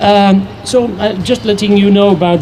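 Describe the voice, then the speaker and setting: A man speaks in a high voice at a moderate pace, with audible room echo and noticeable background noise. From abroad, not native English speaker. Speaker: environmental activist. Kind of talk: public speech at rally. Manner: halting, many fillers.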